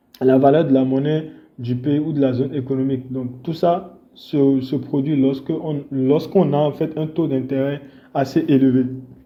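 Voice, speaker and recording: A man with a fairly high pitch speaks at a fairly slow pace in a monotone, flat intonation. Audible room echo surrounds his voice. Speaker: forex trading educator. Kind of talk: tutorial. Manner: halting, many fillers.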